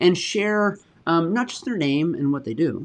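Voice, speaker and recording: The background stays quiet. Speech proceeds at a moderate pace. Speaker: webinar host. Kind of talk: live panel moderation.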